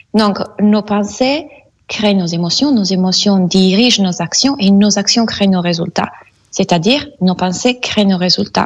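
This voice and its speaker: A woman with an Italian accent speaks fairly slowly at medium pitch, somewhat breathy, with ordinary pitch variation and very even loudness. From Italy. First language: Italian (speaking French). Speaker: mindset coach and hypnotherapist. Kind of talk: radio interview. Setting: Skype call.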